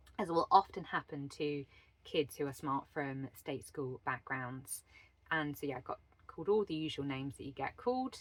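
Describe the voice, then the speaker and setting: In a southern English accent, a woman with a very deep, low pitch speaks at a moderate pace with lively intonation. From England, Wiltshire. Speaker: leadership and life coach. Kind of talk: personal storytelling monologue. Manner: stumbles over words.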